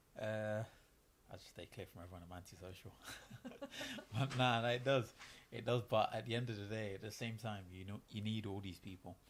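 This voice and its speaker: A man with a slight Manchester accent talks at a fairly quick pace with fairly low pitch and long, frequent pauses. His intonation is fairly even, but his loudness swings widely. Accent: picking up a slight Manchester. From East London. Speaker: professional boxer. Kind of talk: casual interview.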